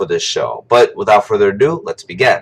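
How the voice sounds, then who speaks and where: This man's voice sounds somewhat breathy. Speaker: wrestling show reviewer. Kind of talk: casual video review monologue. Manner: halting, repeats words.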